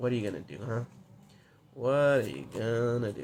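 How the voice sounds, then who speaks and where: In a put-on character voice, a man speaks at a moderate pace with a gravelly, husky sound, medium pitch, ordinary pitch variation and big swings in loudness. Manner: menacing, taunting.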